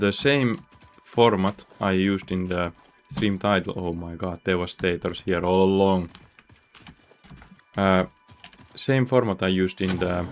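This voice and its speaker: A man's very deep, low voice at a fairly slow pace, fairly even in intonation, with long, frequent pauses and noticeable background noise. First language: Finnish. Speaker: gaming streamer. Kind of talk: live gaming stream commentary. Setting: at home.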